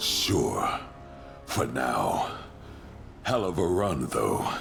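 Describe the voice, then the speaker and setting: Clear music plays behind a man using a put-on character voice, very deep and low, at a very slow pace. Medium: game stream. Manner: gruff, amused.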